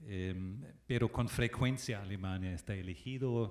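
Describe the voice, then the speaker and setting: A man with a German accent talks at a fairly slow pace, his pitch fairly low with ordinary variation. The recording is very clean, with a silent background. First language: German (speaking Spanish). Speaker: ambassador. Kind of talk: panel talk. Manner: halting, many fillers.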